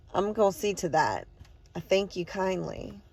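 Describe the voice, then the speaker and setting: A woman puts on a raspy character voice at a medium pitch, talking at a moderate pace. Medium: read story. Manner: homely, insistent.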